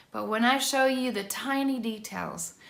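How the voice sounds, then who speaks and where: A woman's fairly high voice with a northern US accent at a moderate pace, amid noticeable background noise and audible room echo. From Michigan, US (Allegan). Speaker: worship songwriter. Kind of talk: teaching talk to camera.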